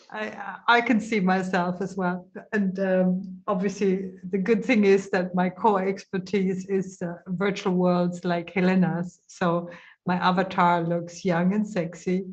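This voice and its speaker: Somewhat breathy and medium in pitch, a woman talks at a fairly slow pace in a monotone, flat intonation, with audible room echo around her. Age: 60s. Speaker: webinar organizer and edtech presenter. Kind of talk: casual chat in an online conference.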